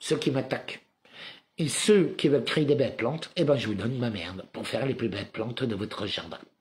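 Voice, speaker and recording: A man talks at a fairly quick pace in a medium pitch, his intonation lively and his voice somewhat breathy. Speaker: spiritual commentator livestreamer. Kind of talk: live monologue; reading aloud own written text.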